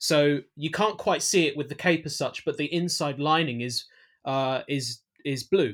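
Speaking at a fairly slow pace, a man with a London accent and a fairly high pitch shows ordinary pitch variation in a very clean recording with a silent background. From East London, England. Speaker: filmmaker. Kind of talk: interview. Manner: halting, many fillers and restarts.

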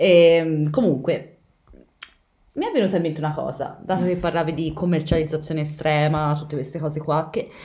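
A dark, mellow voice moves at a moderate pace with fairly even intonation. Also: woman, very deep, low pitch for a woman. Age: 20s. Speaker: podcast host. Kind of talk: casual chat.

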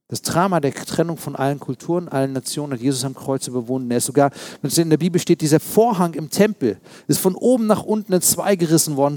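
The voice moves at a very fast pace with lively intonation and a dark, mellow tone, captured with a dry, close sound and no echo. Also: man. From East Berlin, Germany. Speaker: pastor. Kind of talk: sermon.

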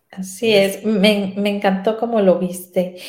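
Words arrive very slowly, and room echo can be heard. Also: woman. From Mexico, Sinaloa. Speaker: radio host. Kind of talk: casual interview.

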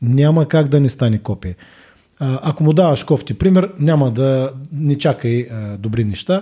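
Somewhat breathy with a dark, mellow tone, a man speaks at a fairly high pitch and a fairly slow pace with lively intonation. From Bulgaria, Burgas. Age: 50s. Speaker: gym owner and fitness trainer. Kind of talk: casual interview chat. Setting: studio.

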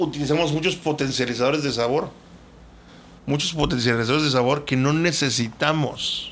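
With audible room echo, a man speaks at a moderate pace in a fairly high voice, his loudness very even and his intonation fairly even. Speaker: podcast co-host. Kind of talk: casual chat.

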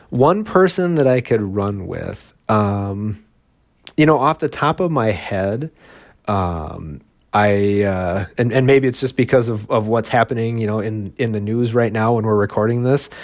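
On a very clean recording with a silent background, a man with an ordinary speaking voice talks at medium pitch and a fairly slow pace, his intonation lively. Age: 40s. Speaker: marathon runner and author. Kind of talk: interview.

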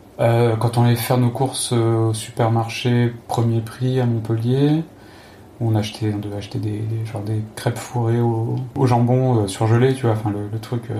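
Pitched at medium height, a man's voice has a dark, mellow tone and is somewhat breathy. He speaks at a moderate pace in a monotone, flat intonation. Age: 30s. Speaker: former pharmacist, traveler. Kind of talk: interview. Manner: halting, repeats words.

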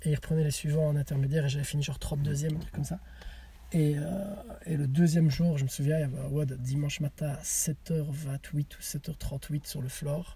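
A man's fairly high voice at a fairly quick pace, monotone and flat in intonation, over noticeable background noise. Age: 30s. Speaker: CrossFit athlete and coach. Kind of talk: casual chat. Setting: in a car.

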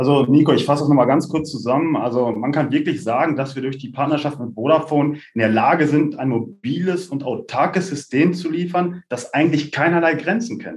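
This is an ordinary speaking voice. The man uses ordinary pitch variation. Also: fairly high pitch for a man, fairly quick pace, hardly any pauses. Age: 30s. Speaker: tech startup co-founder and CEO. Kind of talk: podcast interview.

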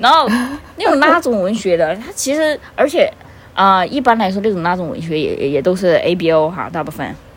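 A woman's medium-pitched voice with a Sichuan accent, fairly quick and full of very wide pitch swings, over noticeable background noise. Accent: Sichuan-accented Mandarin. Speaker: fan fiction recommender. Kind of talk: casual chat.

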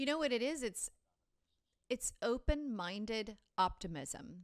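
With lively intonation at a moderate pace, a woman talks in an unremarkable speaking voice. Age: 40s. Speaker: marketing agency executive and podcast co-host. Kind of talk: casual business chat.

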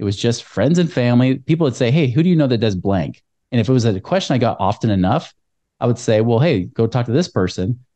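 Over a quiet background, a man with an American accent speaks very fast in a dark, mellow tone at very even loudness. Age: 40s. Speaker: financial advisor. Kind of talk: casual interview.

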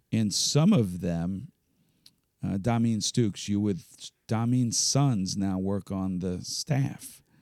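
A man with a Philadelphia accent talks at a very slow pace and a fairly low pitch, his dark, mellow tone carrying ordinary pitch variation. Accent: Philadelphia-area American. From Philadelphia suburbs, Pennsylvania. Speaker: nonprofit youth basketball executive. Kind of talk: interview.

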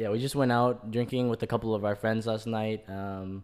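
A man with an ordinary speaking voice, moderate in pace and fairly even in intonation. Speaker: podcast host. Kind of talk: casual chat. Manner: laughing often, casual.

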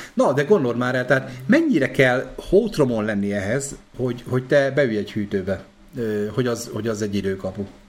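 The speaker goes at a moderate pace with ordinary pitch variation, and background noise is noticeable. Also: man, medium pitch for a man. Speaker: podcast host. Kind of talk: casual chat. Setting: live stream.

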